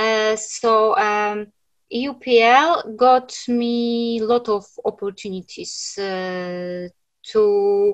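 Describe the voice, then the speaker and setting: A woman with a Polish accent at a very slow pace, with fairly high pitch and ordinary pitch variation. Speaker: writer. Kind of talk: panel discussion. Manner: halting.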